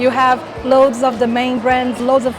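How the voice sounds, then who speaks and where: With music in the background and audible room echo, a woman with a high pitch speaks at a fairly quick pace. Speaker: travel vlogger. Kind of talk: travel vlog walkthrough.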